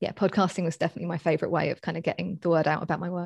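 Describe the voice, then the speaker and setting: A woman with a London accent speaks at a fairly low pitch in a monotone, flat intonation, in a very clean recording with a silent background and a dry, close sound with no echo. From Southeast London, England. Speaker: astrologer and coach. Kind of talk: casual interview. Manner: halting, many fillers.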